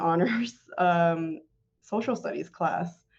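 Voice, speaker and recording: At a very slow pace, a woman with a Spanish accent speaks in a fairly low pitch with ordinary pitch variation. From Tennessee (Morristown), early childhood in Tijuana. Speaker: city clerk. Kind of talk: interview.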